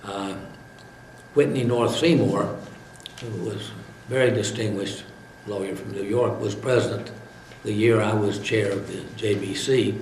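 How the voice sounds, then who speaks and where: A man with a Southern US accent speaks fairly slowly at a fairly low pitch with fairly even intonation, long, frequent pauses and big swings in loudness. Noticeable background noise and audible room echo are present. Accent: southern American. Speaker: retired lawyer. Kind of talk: interview. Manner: halting, frequent uh fillers.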